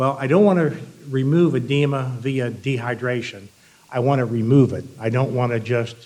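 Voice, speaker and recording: A man speaks at a moderate pace in a medium pitch with ordinary pitch variation. Room echo is audible, and there is noticeable background noise. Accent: American. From Iowa. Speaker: embalming fluid manufacturer representative. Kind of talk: industry presentation. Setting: stage with audience.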